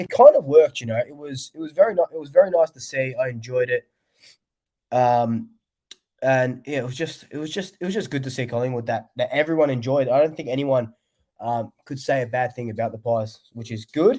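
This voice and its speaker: In a very clean recording with a silent background, a man with an Australian accent speaks at a fairly quick pace in a dark, mellow tone, with big swings in loudness. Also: medium pitch for a man, ordinary pitch variation. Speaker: sports fan vlogger. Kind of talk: casual livestream chat. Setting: livestream. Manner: casual, filler-heavy.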